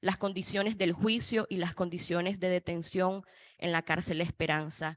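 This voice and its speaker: A woman with an ordinary speaking voice, fairly low in pitch, at a moderate pace. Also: dry, close sound with no echo. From Nicaragua. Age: 20s. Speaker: student activist and former political prisoner. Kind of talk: panel testimony. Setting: panel event in Washington.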